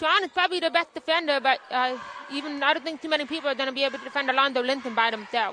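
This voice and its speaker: The speaker talks at a very fast pace in a raised, projected voice with ordinary pitch variation. Noticeable background noise runs underneath. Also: woman, high pitch for a woman. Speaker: basketball color commentator. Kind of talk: radio sports color commentary. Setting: radio broadcast booth at a gym. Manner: hesitant, filler-heavy.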